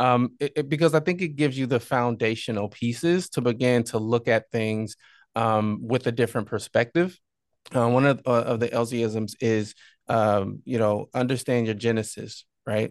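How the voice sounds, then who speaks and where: A man with an American accent speaks in a normal speaking voice at medium pitch and moderate pace, with ordinary pitch variation, in a dry, close sound with no echo over a quiet background. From southern Illinois, small town. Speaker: entrepreneur and podcaster. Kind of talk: interview conversation.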